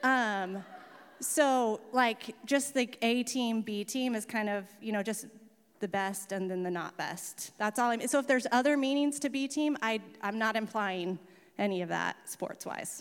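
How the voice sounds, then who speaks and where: Using an American accent, a woman with a fairly high voice and ordinary pitch variation speaks at a fairly slow pace. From Oregon, Salem area. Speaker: pastor. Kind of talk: sermon. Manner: casual, hesitant with fillers.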